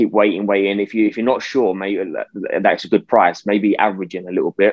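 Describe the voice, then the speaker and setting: Someone speaks with a British accent. The pace is fairly quick. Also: man, fairly low pitch for a man, fairly even intonation. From UK. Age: 20s. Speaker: investor and youtuber. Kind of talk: interview.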